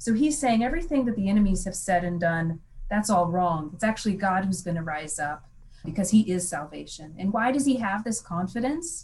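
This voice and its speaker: A woman speaks at a fairly quick pace, somewhat breathy, her pitch swinging very widely. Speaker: Bible professor. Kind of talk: casual chat.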